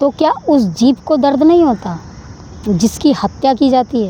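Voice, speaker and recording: A woman's loud, animated, high voice over noticeable background noise. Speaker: spiritual vlogger. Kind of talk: preachy monologue to camera.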